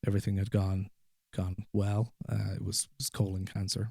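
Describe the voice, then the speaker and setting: A man speaks in a fairly low, somewhat breathy voice. The recording is very clean with a silent background. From Ireland. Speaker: guest sharing personal story. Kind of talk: podcast interview, personal story. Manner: halting, repeats words.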